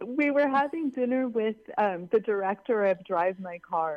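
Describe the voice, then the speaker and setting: With an American accent, a woman talks at a moderate pace in an ordinary speaking voice with ordinary pitch variation. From Los Angeles. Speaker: filmmaker. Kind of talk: interview. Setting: phone call.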